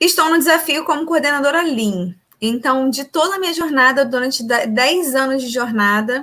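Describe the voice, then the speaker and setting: A high-pitched woman's voice, bright and sharp in tone, at a moderate pace with lively intonation. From Rio de Janeiro, Brazil. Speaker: production engineer, lean coordinator. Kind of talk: live interview. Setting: live stream.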